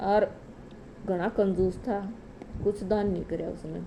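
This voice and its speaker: A woman's medium-pitched voice with a Haryana accent, a dark, mellow tone and monotone, flat intonation. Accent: Haryanvi. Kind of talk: religious folk story telling. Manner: casual storytelling.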